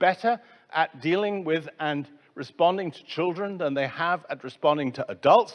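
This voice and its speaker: This man speaks with an English accent. His pitch is high and his pace moderate. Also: quiet background. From England. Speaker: conference speaker on science museums. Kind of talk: conference talk.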